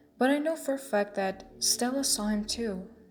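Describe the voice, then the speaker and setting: A woman's fairly slow speech is set against music in the background. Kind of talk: horror story narration.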